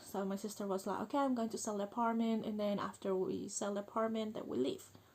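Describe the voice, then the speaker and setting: Someone with a Spanish accent speaks at a very fast pace with fairly even intonation. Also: woman, medium pitch for a woman. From Chile. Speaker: vlogger. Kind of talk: personal vlog monologue. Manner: halting, many fillers.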